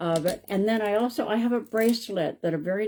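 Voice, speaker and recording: The voice has a dark, mellow tone and lively intonation, moving at a moderate pace. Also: woman. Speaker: psychic medium. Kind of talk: live stream talk to viewers. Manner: casual, halting.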